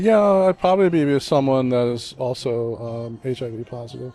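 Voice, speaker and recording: Music in the background beneath a man's medium-pitched voice. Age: 60s. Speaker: former adult film actor. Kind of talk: interview. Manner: halting.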